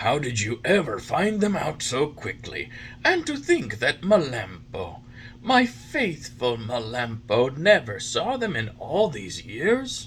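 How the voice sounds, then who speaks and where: Someone speaks in a put-on character voice at a fairly slow pace, with very wide pitch swings and clear background noise. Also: man, fairly high pitch for a man. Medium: read story.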